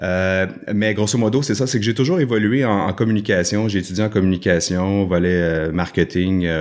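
The man's voice sits very deep and low. It rises and falls in an ordinary way. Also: very clean recording, silent background. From Quebec, Laurentides. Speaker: hiker and adventurer. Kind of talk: casual interview.

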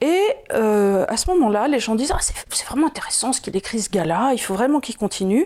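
A woman's dark, mellow voice, fairly high in pitch, with very wide pitch swings and a fairly quick pace. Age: 50s. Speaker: video host. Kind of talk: casual explanatory chat. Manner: hesitant, many fillers.

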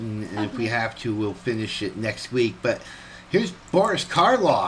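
Speaking with an ordinary speaking voice, a man holds a medium pitch and a moderate pace. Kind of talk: casual radio host banter and announcements. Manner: relaxed, chatty, cheerful.

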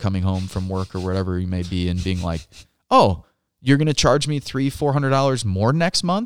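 On a very clean recording with a silent background and a dry, close sound with no echo, a man speaks at a fairly quick pace with lively intonation. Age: 30s. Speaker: podcast co-host, Marine veteran. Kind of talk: casual chat. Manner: animated.

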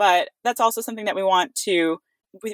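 A woman talks with an American accent in a dry, close sound with no echo. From US, California Bay Area. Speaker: startup founder. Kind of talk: podcast interview.

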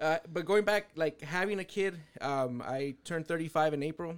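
A man speaks in a plain, everyday voice with fairly high pitch and ordinary pitch variation. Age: 30s. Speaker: podcast host. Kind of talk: casual chat.

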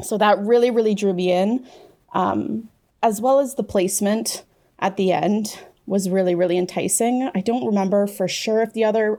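A woman's dark, mellow voice at medium pitch, with a Canadian accent, a moderate pace and ordinary pitch variation. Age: 20s. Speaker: writer. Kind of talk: interview.

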